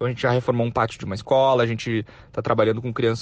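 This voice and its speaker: Very fast speech from a man, quiet background behind him. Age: 20s. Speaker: entrepreneur. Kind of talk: interview. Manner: casual.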